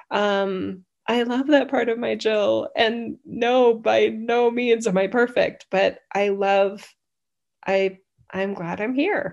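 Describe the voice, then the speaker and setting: A woman with an American accent speaks at a very slow pace and fairly high pitch. The background is quiet. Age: 50s. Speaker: channeler and spiritual teacher. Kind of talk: casual chat. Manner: animated.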